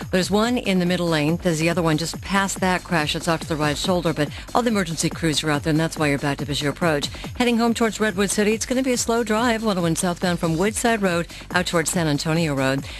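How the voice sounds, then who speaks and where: With music in the background, a woman speaks at a very fast pace with hardly any pauses, very even loudness and lively intonation. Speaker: radio traffic reporter. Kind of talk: radio traffic report.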